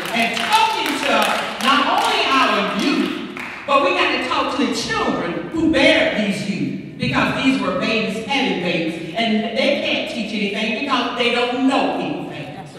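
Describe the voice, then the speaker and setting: Over light background noise and strong room echo, a woman with a high voice speaks at a fairly slow pace with lively intonation. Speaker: speaker, bishop. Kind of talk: impassioned public address. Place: church.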